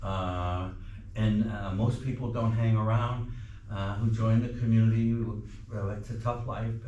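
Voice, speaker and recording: A man with an American accent speaks at medium pitch in a monotone, flat intonation at a fairly slow pace with long, frequent pauses, with audible room echo and noticeable background noise. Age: 70s. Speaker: peace activist. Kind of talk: speech. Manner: halting, many fillers.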